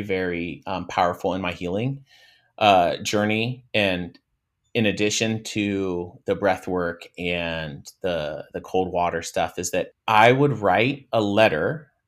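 A man is heard in a very clean recording, the background silent. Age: 40s. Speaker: mindfulness and breath work coach. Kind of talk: casual interview. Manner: energetic.

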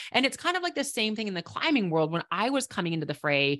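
A woman talks with an American accent at a medium pitch. The background is quiet. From Minnesota, Minneapolis. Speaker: professional climber and conservation entrepreneur. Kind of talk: casual interview.

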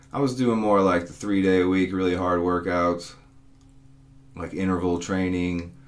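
The room echo is audible. The pace is moderate and the intonation fairly even. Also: man, very deep, low pitch for a man. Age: 40s. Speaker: personal trainer and podcast host. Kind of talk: solo podcast monologue. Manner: casual, conversational with fillers.

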